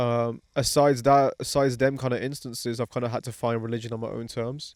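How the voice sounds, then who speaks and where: Very fast male speech in a monotone, flat intonation. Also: medium pitch for a man. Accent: British. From England, Pakistani heritage. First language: Pahari. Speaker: podcast host. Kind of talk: casual chat. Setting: outdoors at a barbecue.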